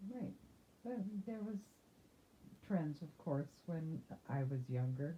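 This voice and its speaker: Very slowly, a woman speaks at a very deep, low pitch in a somewhat breathy, dark, mellow tone. Her pitch swings very widely, and she leaves long, frequent pauses. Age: 60s. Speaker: interviewee, grandmother. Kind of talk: oral history interview. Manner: halting, with self-repairs.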